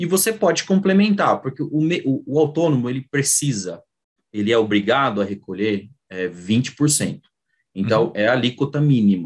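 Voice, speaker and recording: Very wide pitch swings from a man at a medium pitch, moving at a moderate pace. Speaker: accountant. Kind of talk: online workshop talk. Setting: video call. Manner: halting.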